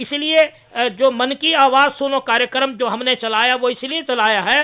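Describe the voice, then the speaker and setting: A man's extremely high voice with fairly even intonation. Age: 60s. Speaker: social activist against superstition. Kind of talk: talk to camera. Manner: halting, many fillers.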